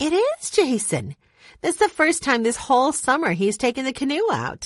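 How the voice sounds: In a put-on character voice, a woman speaks at a moderate pace and a high pitch. Her pitch swings very widely against a quiet background.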